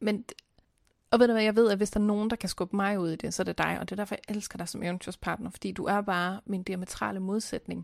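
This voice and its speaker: In a very clean recording with a silent background, a woman speaks very fast in a medium pitch with monotone, flat intonation. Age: late 20s to 30s. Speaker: podcast co-host. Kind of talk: casual chat.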